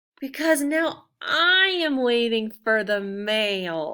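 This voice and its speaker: A woman speaks in a put-on character voice with a high pitch. Her pace is very slow. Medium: read story. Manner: gentle, warm.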